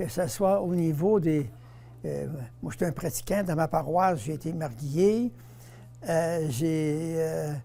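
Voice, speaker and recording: With a Quebec accent, the voice has a dark, mellow tone and ordinary pitch variation, moving at a very slow pace with long, frequent pauses amid audible room echo. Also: man, fairly high pitch for a man. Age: 80s+. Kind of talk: interview.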